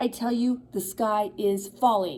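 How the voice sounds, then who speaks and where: Using a put-on character voice, a woman speaks fairly slowly at a medium pitch. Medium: read story.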